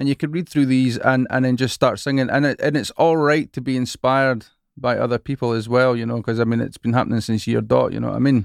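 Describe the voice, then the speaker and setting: With a Scottish accent, a man talks very fast at a medium pitch, barely pausing, his intonation fairly even. The recording is very clean and dry, close with no echo and a silent background. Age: 40s. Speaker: worship leader and songwriter, podcast host. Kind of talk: casual interview chat.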